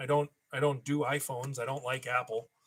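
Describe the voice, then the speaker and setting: At a moderate pace, a man with an Upper Midwest accent speaks in a bright, sharp tone. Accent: Upper Midwest American. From Minnesota. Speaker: toy collector YouTuber. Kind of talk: live stream chat. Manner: casual, rambling.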